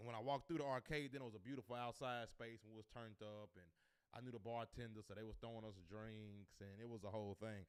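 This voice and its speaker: His tone is animated, with a medium pitch and ordinary pitch variation. The man talks at a fairly quick pace. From US South, Nashville, Tennessee. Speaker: comedian. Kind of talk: casual live stream chat. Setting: live stream at home.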